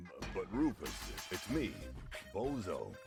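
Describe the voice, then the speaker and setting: A man in a put-on character voice at a fairly slow pace, with clear music in the background. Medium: video game. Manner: wry, easygoing.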